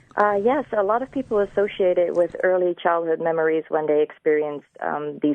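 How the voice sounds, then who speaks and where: Speaking at a fairly quick pace with ordinary pitch variation, a woman talks with a slight Dutch accent. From Netherlands. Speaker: ASMR video creator. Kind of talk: live radio interview. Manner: soft-spoken.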